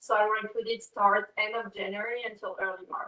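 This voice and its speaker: At a moderate pace, a woman with a French accent speaks in a fairly high pitch with a bright, sharp tone. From France. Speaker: fashion brand co-founder and creative director. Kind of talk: class talk to students. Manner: halting, with many fillers.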